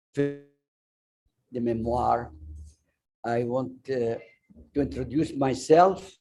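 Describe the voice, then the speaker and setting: Speaking very slowly with long, frequent pauses, a man with an Arabic accent uses a dark, mellow tone at medium pitch with ordinary pitch variation. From Iraq, Baghdad. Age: 90s. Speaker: refugee speaker and memoir author. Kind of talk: personal testimony talk. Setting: restaurant event streamed on Zoom.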